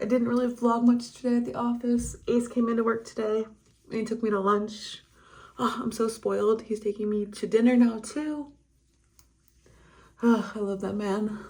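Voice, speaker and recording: A woman speaks in a somewhat breathy voice at a fairly high pitch, with monotone, flat intonation. Her pace is moderate, broken by long, frequent pauses. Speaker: vlogger and photographer. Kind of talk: casual vlog talk to camera.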